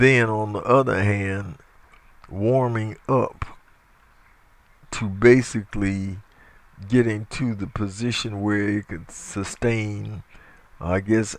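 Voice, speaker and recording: With an American accent, a man talks at a very slow pace and a fairly low pitch, his intonation fairly even and broken by long, frequent pauses. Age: 60s. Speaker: evangelist. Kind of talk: opinion monologue. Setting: audio recording. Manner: halting.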